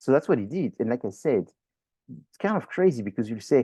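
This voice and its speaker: In a quiet setting, a man with a French accent speaks at a medium pitch, his dark, mellow tone carrying lively intonation in a dry, close sound with no echo. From France. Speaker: professor. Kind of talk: lecture. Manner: animated.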